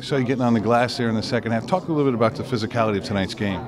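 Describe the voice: With clear background noise behind him, a man talks at a very fast pace. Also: medium pitch for a man, ordinary pitch variation.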